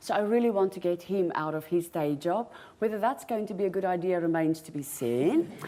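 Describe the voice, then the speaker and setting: Here a woman speaks with a South African accent at a fairly quick pace. Her pitch is fairly low. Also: ordinary pitch variation. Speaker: property investor. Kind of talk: conference talk. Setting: stage with audience.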